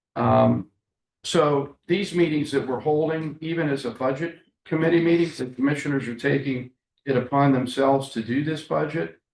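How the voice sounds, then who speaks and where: Speaking at a moderate pace with ordinary pitch variation, a man uses an ordinary speaking voice pitched fairly high. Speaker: county commissioner. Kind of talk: public meeting discussion. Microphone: muffled on meeting recording.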